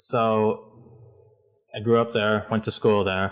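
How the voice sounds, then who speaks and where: A man's monotone, flat delivery at a medium pitch on a very clean recording with a silent background. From Hong Kong. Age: 20s. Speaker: artist. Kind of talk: casual chat. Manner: halting.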